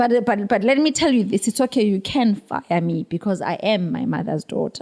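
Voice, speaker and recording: A woman at a medium pitch with a dark, mellow tone and vocal fry, lively intonation and a moderate pace, in a dry, close sound with no echo. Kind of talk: casual chat. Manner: loud.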